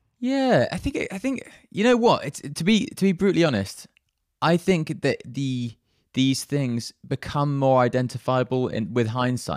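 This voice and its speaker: A man with a British accent speaks at a moderate pace in a fairly high voice. His pitch swings very widely, and the recording is very clean with a silent background. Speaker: composer. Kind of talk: casual interview chat.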